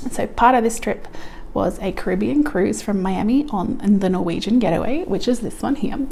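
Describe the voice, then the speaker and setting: Moderate pace from a woman with a fairly high voice, amid audible room echo and noticeable background noise. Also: lively intonation. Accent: Australian. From Australia, Melbourne. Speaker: couponing vlogger. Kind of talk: personal vlog.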